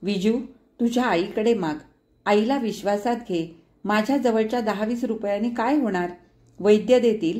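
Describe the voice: Plain reading aloud carries ordinary pitch variation.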